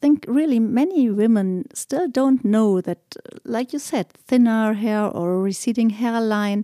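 A woman in a German accent, her tone dark and mellow, her pace fairly slow, the sound dry and close with no echo. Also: very clean recording, silent background. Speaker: podcast host. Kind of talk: interview.

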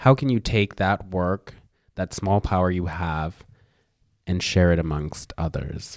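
On a very clean recording with a silent background and dry, close sound with no echo, a man speaks fairly slowly at a very deep, low pitch with ordinary pitch variation. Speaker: podcast host. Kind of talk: interview conversation. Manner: laughs often.

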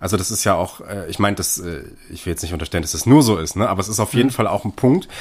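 A man talks at a very fast pace and a fairly low pitch with ordinary pitch variation, in a very clean recording with a silent background. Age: 20s. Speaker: film podcast co-host. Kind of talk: film analysis discussion. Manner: hesitant, many fillers.

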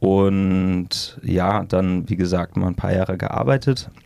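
At a fairly slow pace, a man talks with a very deep, low pitch. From Münster area, Westphalia, Germany. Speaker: ultrarunner and adventurer. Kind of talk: casual interview.

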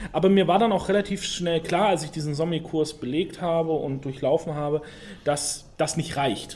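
Here is an unremarkable speaking voice. Its pace is moderate, and its pitch varies in an ordinary way. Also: man, fairly high pitch for a man. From Franconia (Rhön), Germany. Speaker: sommelier and podcast co-host. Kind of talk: casual chat.

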